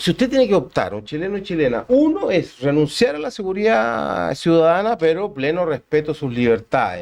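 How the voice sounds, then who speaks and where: A fairly high-pitched man at a fairly quick pace, with very wide pitch swings and hardly any pauses. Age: 60s. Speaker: law professor. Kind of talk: interview.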